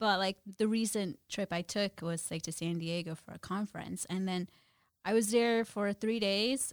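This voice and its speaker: A woman with a plain, everyday voice speaks at a medium pitch and moderate pace in an American accent, with fairly even intonation. The sound is dry and close, with no echo. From New Jersey. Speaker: brokerage compliance professional. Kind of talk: casual interview.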